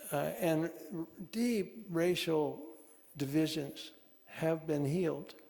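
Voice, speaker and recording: Audible room echo surrounds a man's fairly high voice, which shows ordinary pitch variation. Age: 80s+. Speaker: author. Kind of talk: conversation at a church talk. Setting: congregation gathering. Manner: halting.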